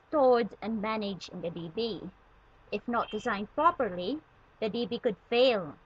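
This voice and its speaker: A woman with a somewhat breathy, fairly high voice talks at a moderate pace. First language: not English. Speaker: student tutorial maker. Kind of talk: tutorial.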